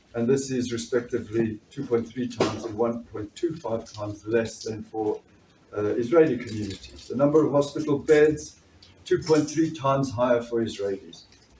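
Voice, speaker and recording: A man with a South African accent, medium pitch, ordinary pitch variation and a moderate pace. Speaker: doctor and trade union activist. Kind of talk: political speech. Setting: conference fringe meeting with audience.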